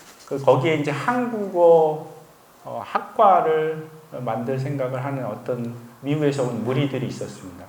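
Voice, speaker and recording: Fairly high in pitch, a man speaks at a fairly slow pace. Audible room echo and noticeable background noise surround his voice. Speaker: missionary. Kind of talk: testimony. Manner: conversational, with frequent fillers.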